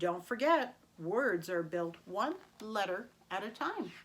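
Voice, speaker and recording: A female-sounding voice puts on a character at a medium pitch. The delivery is sing-song and fairly slow. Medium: read story. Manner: sing-song, chirpy, enthusiastic.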